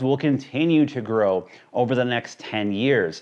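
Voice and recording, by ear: A man talks at a moderate pace with ordinary pitch variation.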